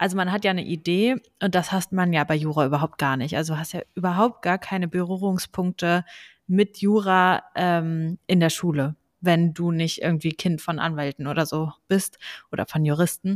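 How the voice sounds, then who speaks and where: With an unremarkable speaking voice, a woman talks at a moderate pace and fairly low pitch, the sound dry and close with no echo on a very clean recording with a silent background. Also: fairly even intonation. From Lower Saxony, Germany (Braunschweig). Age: 20s. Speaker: law student and podcast co-host. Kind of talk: casual chat.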